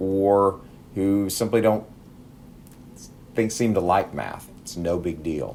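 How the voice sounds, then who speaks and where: With audible room echo, a man with an American accent speaks at a very slow pace in a very deep, low pitch. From Texas. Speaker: math teacher. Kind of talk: lecture. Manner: halting.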